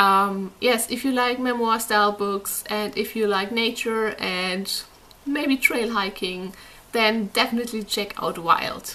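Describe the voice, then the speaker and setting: A woman with a non-native accent talks at a fairly slow pace. Her pitch is fairly high and her intonation fairly even. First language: not English. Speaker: book reviewer. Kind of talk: casual book review monologue.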